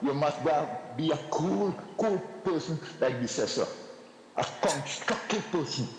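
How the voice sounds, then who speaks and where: With a Trinidadian accent, a man of fairly high pitch speaks at a fairly slow pace with lively intonation and very even loudness. The recording has audible room echo and noticeable background noise. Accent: Trinidadian English Creole. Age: 70s. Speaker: caller. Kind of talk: call-in comment. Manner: halting, repetitive.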